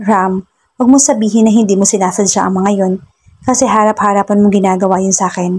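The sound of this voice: An unforced reading voice with fairly even intonation over a quiet background.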